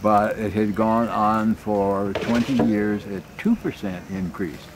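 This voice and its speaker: Over noticeable background noise, a man speaks very slowly in a fairly low pitch with fairly even intonation. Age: 80s+. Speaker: retired mathematical statistician. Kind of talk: interview answer.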